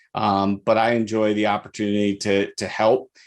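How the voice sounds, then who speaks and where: With a Michigan accent, a man speaks at a medium pitch. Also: very clean recording, silent background. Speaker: chief appraiser. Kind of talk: podcast interview.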